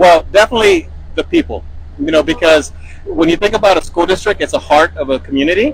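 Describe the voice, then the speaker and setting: Here a man talks at a very fast pace. Noticeable background noise runs behind him. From Texas, Baytown. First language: Spanish. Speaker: school superintendent. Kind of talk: interview answers. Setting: on a school bus.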